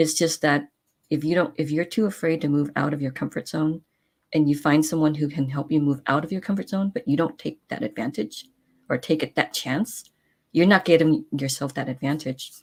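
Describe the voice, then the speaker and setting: A woman speaks fairly quickly at a very deep, low pitch with ordinary pitch variation. The recording is very clean, the background silent. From San Francisco, California. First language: not English. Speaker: talk show host. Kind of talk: casual chat. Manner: halting, many fillers and restarts.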